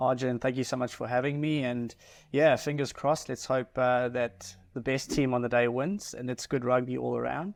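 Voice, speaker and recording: At a moderate pace, a man speaks with a South African accent. His pitch is medium and his intonation fairly even. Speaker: mortgage advisor. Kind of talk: podcast interview.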